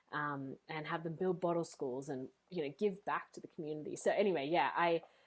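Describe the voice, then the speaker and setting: A woman speaks at a fairly quick pace with an Australian accent. Her pitch sits fairly low. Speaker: speaker and coach, former teacher. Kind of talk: podcast interview. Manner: animated.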